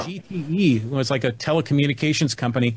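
A man with a Californian accent speaks in a fairly high, somewhat breathy voice. His pitch varies in an ordinary way, and the background is quiet. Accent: General American (Californian). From US West Coast, San Francisco Bay Area. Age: 50s. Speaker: podcast host and marketing business owner. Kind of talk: casual chat.

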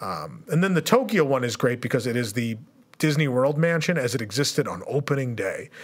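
Using an unremarkable speaking voice, a man at fairly high pitch talks at a fairly quick pace with lively intonation. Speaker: podcast host. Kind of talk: casual chat. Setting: studio.

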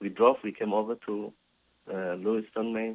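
At a moderate pace, a man with a Somali accent speaks in a fairly low, monotone voice with flat intonation. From Somalia. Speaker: business owner and community volunteer. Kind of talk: interview.

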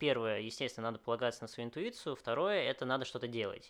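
A man's voice over a quiet background. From Moscow, Russia. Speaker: restaurant chain founder. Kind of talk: interview. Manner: hesitant, many fillers.

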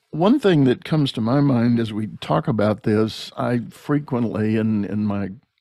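A man with a dark, mellow tone speaks at a medium pitch and a fairly slow pace. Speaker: podcast host and leadership coach. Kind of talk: casual interview. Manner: conversational, friendly.

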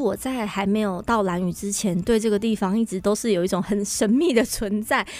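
Music plays in the background as a woman speaks at a moderate pace. Her fairly high voice runs on with hardly any pauses. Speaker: church administrator and event emcee. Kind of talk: radio interview.

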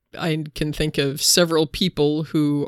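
In a very clean recording with a silent background and a dry, close sound with no echo, a woman speaks in a very deep, low pitch with monotone, flat intonation and vocal fry. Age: 50s. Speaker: podcast co-host, preaching resource. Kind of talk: casual chat about scripture and sermon ideas.

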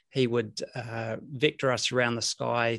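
Flat, monotone intonation comes from a man in a dry, close sound with no echo. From New Zealand, Rotorua. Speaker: former air force jet pilot. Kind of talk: interview, recounting personal story.

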